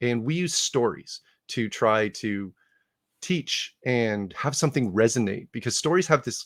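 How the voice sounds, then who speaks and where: Speaking at a moderate pace with lively intonation, a man has a slight Canadian accent. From Canada, Ottawa. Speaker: conference speaker on leadership. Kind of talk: conference talk. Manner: casual, with frequent 'uh' fillers and restarts.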